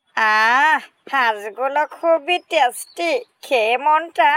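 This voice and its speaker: In a high-pitched, cartoonish character voice, the speaker drags along at a very slow pace. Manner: cocky, sneering.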